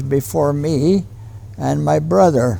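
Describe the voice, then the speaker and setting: A man, with noticeable background noise. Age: 80s+. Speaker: war veteran. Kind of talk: interview answer.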